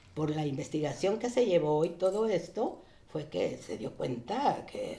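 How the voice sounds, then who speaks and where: Her pitch fairly low, a woman speaks at a fairly slow pace with very wide pitch swings. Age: 70s. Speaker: daughter of a revolutionary general. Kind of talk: interview. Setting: studio. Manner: halting.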